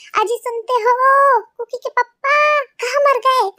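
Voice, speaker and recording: A woman's put-on character voice, squeaky and shouting at an extremely high pitch, with fairly even intonation and a fairly slow pace. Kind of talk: colloquial.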